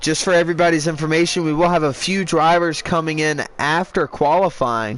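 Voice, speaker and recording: Loud and fairly quick, a man speaks at a fairly high pitch amid noticeable background noise. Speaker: sim racing league commentator. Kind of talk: live commentary. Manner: animated.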